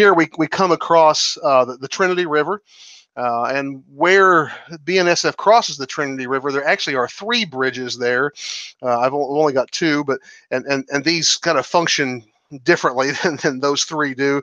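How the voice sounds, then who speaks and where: Over a quiet background, a man speaks at a moderate pace with ordinary pitch variation, the sound dry with no echo. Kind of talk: tour commentary. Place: home room.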